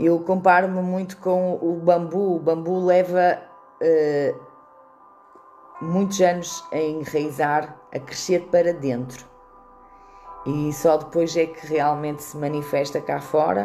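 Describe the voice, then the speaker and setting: Music plays in the background as a woman with a fairly low voice talks at a very slow pace, leaving long, frequent pauses, her loudness swinging widely while her intonation stays fairly even. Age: 40s. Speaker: holistic therapist. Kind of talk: live stream monologue, personal story. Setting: Facebook live video.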